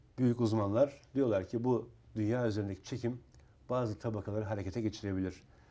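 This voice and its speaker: A dark, mellow tone at a fairly quick pace. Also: man, fairly low pitch for a man. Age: 50s. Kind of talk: casual chat. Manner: animated.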